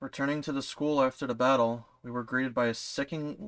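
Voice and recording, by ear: Someone is reading aloud in a natural voice.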